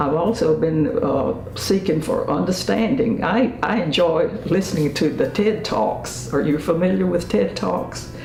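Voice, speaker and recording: A woman with an American accent speaks at a fairly slow pace with hardly any pauses, her fairly low pitch swinging very widely at a very even loudness, amid audible room echo and noticeable background noise. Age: 80s+. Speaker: senior interviewee. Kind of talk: interview. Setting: home studio. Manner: halting.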